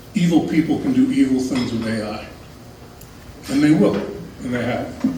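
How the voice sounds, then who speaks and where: The recording has audible room echo and noticeable background noise. A man speaks at a moderate pace. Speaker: lecturer. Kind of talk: lecture. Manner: soft-spoken.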